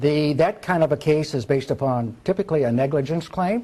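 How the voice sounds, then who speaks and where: Somewhat breathy, this man has a dark, mellow tone. His pitch is fairly high, with lively intonation. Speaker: lawyer. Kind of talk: seminar lecture. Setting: live seminar with audience. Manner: fast.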